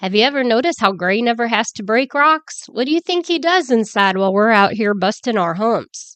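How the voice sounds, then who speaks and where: A woman puts on a nasal character voice, fairly high-pitched and raised to project. She talks at a fairly quick pace with lively intonation and hardly any pauses. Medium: read story. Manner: chatty, prying.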